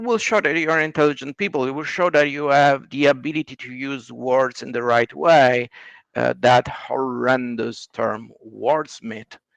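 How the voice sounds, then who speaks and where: In an Italian accent, a man at medium pitch talks at a fairly slow pace with ordinary pitch variation and big swings in loudness, the sound dry and close with no echo against a quiet background. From Italy. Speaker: writer. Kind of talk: casual chat.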